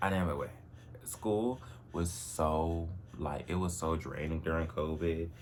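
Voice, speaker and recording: An animated man with a very deep, low pitch speaks amid audible room echo. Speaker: vlogger. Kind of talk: personal vlog monologue. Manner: casual, animated.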